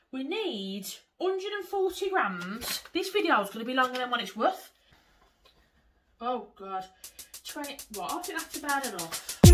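Over music in the background, the speaker's pitch swings very widely, broken by long, frequent pauses. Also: woman, high pitch for a woman, moderate pace. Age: 20s. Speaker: lifestyle vlogger. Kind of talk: casual vlog talk to camera. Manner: chatty, informal.

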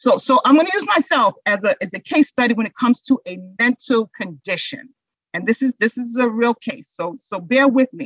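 A woman at a high pitch with lively intonation, moderate pace and big swings in loudness, dry sound with no echo over a quiet background. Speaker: instructor presenting on mental health. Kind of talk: lecture. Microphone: webcam.

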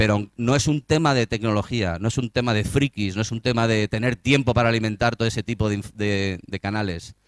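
This man speaks at a fairly quick pace with medium pitch and ordinary pitch variation. The sound is dry with no echo, over a quiet background. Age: 40s. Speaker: tourism marketing strategist; conference speaker. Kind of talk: conference talk. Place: hall.

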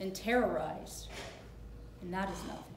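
A woman's voice carries audible room echo along with light background noise. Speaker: actor playing a prosecutor. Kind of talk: staged courtroom closing argument. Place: stage. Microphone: camera far.

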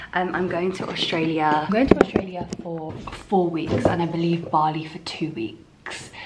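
Moderate pacing against noticeable background noise. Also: woman. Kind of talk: casual vlog chat. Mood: chatty, excited. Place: home room. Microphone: phone near.

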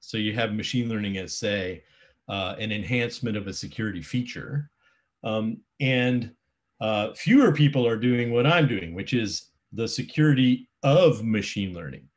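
Male speech at a medium tempo, its pitch varying in the usual way. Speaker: presenter. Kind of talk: lecture. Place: home room. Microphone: webcam.

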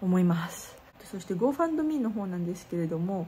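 A woman talks with light background noise present. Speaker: street performer vlogger. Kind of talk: casual vlog chat. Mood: worried but upbeat. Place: home room. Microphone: phone near.

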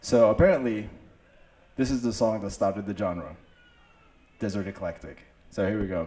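Over light background noise, a man with a fairly low pitch talks at a very fast pace. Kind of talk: stage banter introducing a song. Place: open country. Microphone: handheld.

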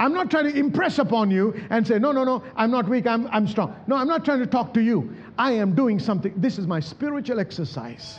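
A man with an extremely high pitch talks at a fairly quick pace with lively intonation and hardly any pauses. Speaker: pastor, church preacher. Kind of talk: sermon delivered to a congregation. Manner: emphatic, call-and-response preaching. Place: church. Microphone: handheld.

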